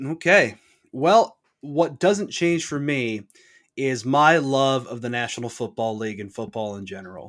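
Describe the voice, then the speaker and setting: In a normal speaking voice with lively intonation and big swings in loudness, the speaker moves at a fairly slow pace on a very clean recording with a silent background. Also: man, medium pitch for a man. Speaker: podcast host. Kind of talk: casual chat.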